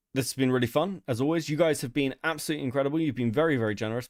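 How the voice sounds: Putting on a character voice, a man speaks very fast at a medium pitch in a raspy tone.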